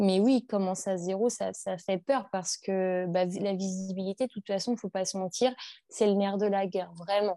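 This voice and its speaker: At a moderate pace, the voice has a dark, mellow tone and fairly even intonation, in a dry, close sound without echo over a quiet background. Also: woman, medium pitch for a woman. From northern France. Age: 20s. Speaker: clothing brand founder. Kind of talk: interview. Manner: halting.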